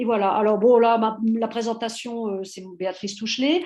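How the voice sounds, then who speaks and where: Her tone is dark and mellow, and her intonation stays fairly even. The woman's pitch is fairly high. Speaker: university historian, seminar speaker. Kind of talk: academic presentation. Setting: online seminar. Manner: halting, many hesitations.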